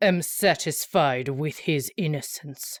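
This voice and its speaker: Putting on a character voice, a woman speaks at a fairly slow pace with ordinary pitch variation in a dry, close sound with no echo. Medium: read story. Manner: haughty, condescending.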